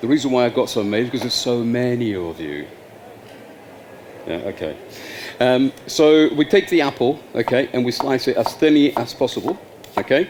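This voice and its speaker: A man speaks at a moderate pace with long, frequent pauses. His pitch is medium, his intonation is lively, and there is noticeable background noise. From Spain, moved to UK at fifteen. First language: Spanish. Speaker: chef. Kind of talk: cooking demonstration.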